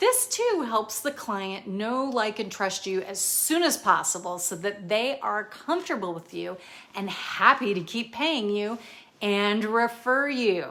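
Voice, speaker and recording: With lively intonation and an animated tone, a woman speaks at a fairly slow pace and fairly high pitch over noticeable background noise. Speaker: personal chef and business coach. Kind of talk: tutorial.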